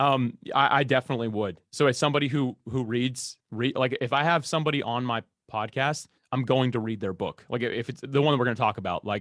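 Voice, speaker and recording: A man at medium pitch, fairly quick and with ordinary pitch variation, in a dry, close sound with no echo on a very clean recording with a silent background. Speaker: podcast host and guest expert. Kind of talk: Q&A interview. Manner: fast; loud.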